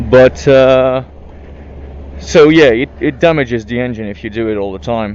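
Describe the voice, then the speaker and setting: Noticeable background noise is present. Over it, a man talks with lively intonation. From France. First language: French. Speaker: motorcycle vlogger. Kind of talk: casual vlog monologue. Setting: riding a motorcycle in city traffic. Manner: hesitant, many fillers.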